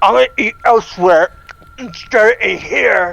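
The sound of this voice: Using a put-on character voice, a woman speaks at a fairly high pitch. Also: moderate pace.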